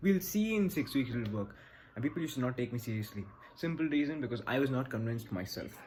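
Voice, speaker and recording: A man with a Bangalorean Indian accent talks at a very fast pace and medium pitch, somewhat breathy, with lively intonation. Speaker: business advice creator. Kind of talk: direct-to-camera advice talk. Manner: confident, assertive.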